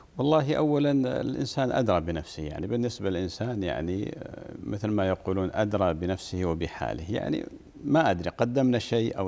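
Fairly low male speech at a moderate pace, swinging very widely in pitch. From northern Saudi Arabia (Arar); Saudi Arabia. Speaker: Islamic scholar and preacher; preacher. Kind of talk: interview. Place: studio. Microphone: lapel.

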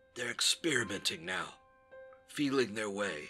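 A man puts on a character voice at a medium pitch and moderate pace. Faint music plays in the background. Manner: urgent, frantic.

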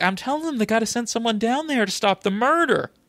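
A put-on character voice, fairly high in pitch, at a very fast pace. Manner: agitated, insistent.

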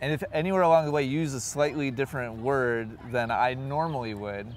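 The sound is dry, with no echo. A man talks at a fairly quick pace with ordinary pitch variation. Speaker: interviewee. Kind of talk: interview answer. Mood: relaxed, amused. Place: open country.

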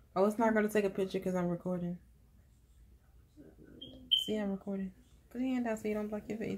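Noticeable background noise sits under a woman talking at a very fast pace. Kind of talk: casual family chat. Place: home room. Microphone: phone near.

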